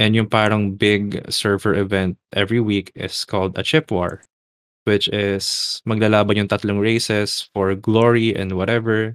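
The intonation is monotone and flat, at a moderate pace. The sound is dry and close, with no echo. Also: man, fairly low pitch for a man. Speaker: podcast host. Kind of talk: casual chat. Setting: live online voice chat.

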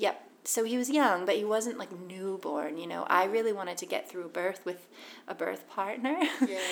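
Over noticeable background noise, a woman with an American accent speaks at a moderate pace, her medium pitch carried by lively intonation. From US, Boston. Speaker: author. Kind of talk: casual interview.

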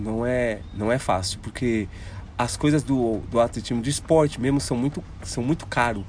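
A man's ordinary speaking voice at medium pitch, fairly slow in pace, with ordinary pitch variation. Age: 30s. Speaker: blind paralympic runner. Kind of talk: casual interview. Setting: outdoors at an athletics track.

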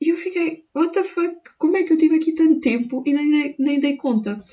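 An animated woman's voice with a European Portuguese accent. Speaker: podcaster. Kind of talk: casual monologue. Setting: at home.

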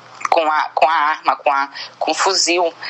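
A woman speaks fairly slowly while noticeable background noise plays behind her. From Maranhão, Brazil (Bacabal). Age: 20s. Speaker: activist. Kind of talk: recorded interview answer.

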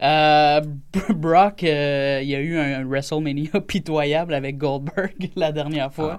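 A man speaks at a very slow pace with hardly any pauses. His pitch is fairly high and his intonation fairly even. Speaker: radio guest telling a personal story. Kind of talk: casual chat. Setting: studio.

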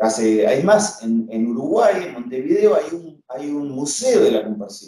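The speech comes at a fairly slow pace in a Rioplatense accent, with hardly any pauses. Loudness swings a lot and pitch swings very widely. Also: man, fairly high pitch for a man. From Argentina, Castelar, Buenos Aires province. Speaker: guitarist. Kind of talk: interview.

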